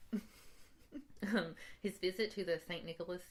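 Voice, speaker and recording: Her pitch varies in an ordinary way. The woman talks at a fairly quick pace. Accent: Appalachian. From Eastern Kentucky. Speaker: podcast co-host. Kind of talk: casual chat.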